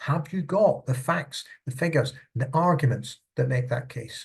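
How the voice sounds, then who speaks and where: In a Scottish accent, a man speaks with a fairly high pitch, a somewhat breathy quality and ordinary pitch variation. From Scotland. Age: old. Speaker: charity consultant. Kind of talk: tutorial. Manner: conversational.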